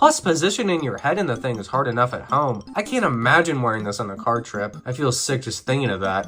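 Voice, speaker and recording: Over music in the background, a man speaks very fast with hardly any pauses. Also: medium pitch for a man, lively intonation. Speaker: video game reviewer. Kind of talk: video essay narration.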